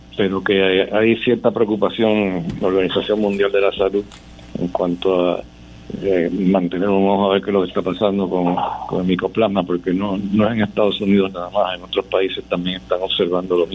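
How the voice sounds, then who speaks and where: A man with a Puerto Rican accent and a very deep, low pitch talks at a fairly quick pace with fairly even intonation against noticeable background noise. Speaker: oncologist surgeon giving Covid update. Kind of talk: medical update. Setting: phone call, noisy background.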